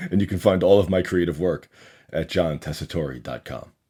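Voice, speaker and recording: A man talks at a moderate pace in a very deep, low voice with vocal fry and ordinary pitch variation. The recording is very clean, with a silent background. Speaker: podcast host and poet. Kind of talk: podcast monologue.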